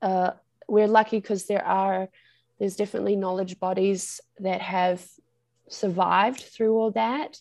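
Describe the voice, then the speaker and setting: A woman with a New Zealand accent, medium pitch, a dark, mellow tone, ordinary pitch variation and a fairly slow pace, over a quiet background. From New Zealand, far north of the North Island. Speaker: Maori language teacher. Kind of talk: interview conversation.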